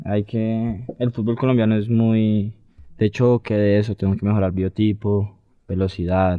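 This man's voice sits fairly low. He talks with a monotone, flat intonation. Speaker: youth academy footballer. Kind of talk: casual interview.

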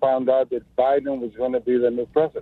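A man with a Spanish accent talks at a medium pitch in a monotone, flat intonation. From Mexico. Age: 70s. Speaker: caller. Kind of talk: call-in talk radio. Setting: phone call.

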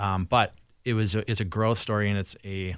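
Against a quiet background, a man with an Upper Midwest accent speaks at a fairly low pitch with fairly even intonation. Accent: Upper Midwest American. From Saint Paul, Minnesota. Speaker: filmmaker and tech worker. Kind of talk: casual chat.

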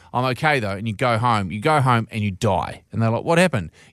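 Over a silent background in a very clean recording, a man talks at a very fast pace with lively intonation. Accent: New Zealand. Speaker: radio host. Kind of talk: casual chat. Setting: studio.

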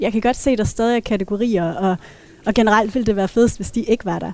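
A woman talks in a plain, everyday voice at a fairly quick pace. Her pitch is fairly high, with ordinary variation. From Denmark, Thy (northwest Jutland). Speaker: feminist panelist. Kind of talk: casual panel discussion. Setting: café.

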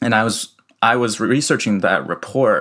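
In an unremarkable speaking voice with an American accent, a man talks at a fairly slow pace with ordinary pitch variation. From US Midwest (Iowa City). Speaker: researcher. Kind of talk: interview. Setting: remote call from home.

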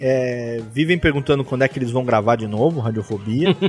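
A man talks, and noticeable noise is present in the background. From interior of São Paulo state, Brazil. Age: 30s. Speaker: podcaster. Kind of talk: casual chat.

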